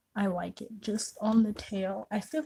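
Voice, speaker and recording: Quiet and somewhat breathy, a woman speaks in a fairly high pitch. Her tone is dark and mellow. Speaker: beauty vlogger. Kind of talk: makeup tutorial chat. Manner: quiet, concentrating.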